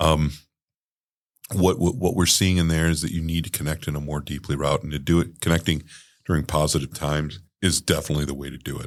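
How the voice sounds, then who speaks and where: A man speaks very fast in a very deep, low pitch with vocal fry and fairly even intonation. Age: 60s. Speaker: podcast host. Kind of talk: casual chat.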